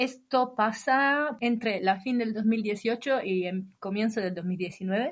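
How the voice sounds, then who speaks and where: A woman with an Italian accent speaks at a very slow pace, her fairly high pitch showing ordinary pitch variation. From northern Italy, Imola. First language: Italian (speaking Spanish). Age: 30s. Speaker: long-term traveller. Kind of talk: casual interview.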